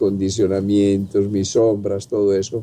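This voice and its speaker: Using a dark, mellow tone, a man speaks at a fairly slow pace. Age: 70s. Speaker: physician and holistic health teacher. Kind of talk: intergenerational conversation.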